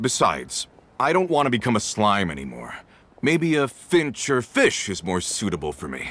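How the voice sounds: Very wide pitch swings mark this put-on character voice, which has a fairly bright tone and a moderate pace. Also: man, fairly low pitch for a man.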